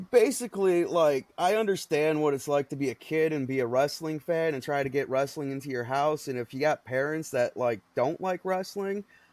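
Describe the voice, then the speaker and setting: Speaking at a moderate pace with hardly any pauses, a man uses a fairly high pitch and ordinary pitch variation. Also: dry, close sound with no echo. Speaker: podcast co-host, wrestling content creator. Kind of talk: casual chat. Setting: remote audio recording.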